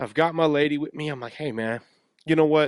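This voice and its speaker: With an American accent, a man speaks at a moderate pace in a fairly high voice with ordinary pitch variation. The sound is dry and close with no echo, over a quiet background. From Texas. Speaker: podcaster and fitness coach. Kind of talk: casual monologue storytelling. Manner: loud; animated.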